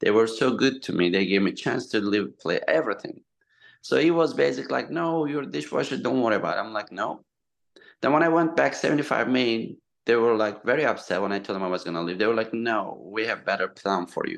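A man with a Turkish accent speaks at a fairly quick pace in a medium pitch, his voice full of vocal fry and very wide pitch swings over a quiet background. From eastern Turkey. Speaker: restaurateur. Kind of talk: casual interview chat. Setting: video or phone call. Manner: halting, non-fluent English.

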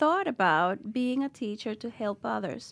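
A woman with a Spanish accent speaks at a fairly slow pace in a fairly high pitch, her intonation lively, on a very clean recording with a silent background. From Dominican Republic. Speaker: school founder and educator. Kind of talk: interview. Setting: studio.

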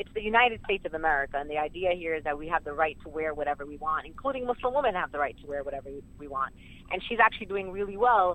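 A woman with a New York accent, fairly low in pitch, very fast, with lively intonation. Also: big swings in loudness. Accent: New York City. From Brooklyn, New York (Sunset Park). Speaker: community advocate. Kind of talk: interview.

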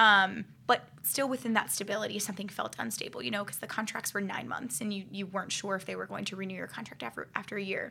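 A woman with an American accent talks at a very fast pace, with ordinary pitch variation. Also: medium pitch for a woman, hardly any pauses. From Ohio, US Midwest. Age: 20s. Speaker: dancer turned clinician. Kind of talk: casual chat.

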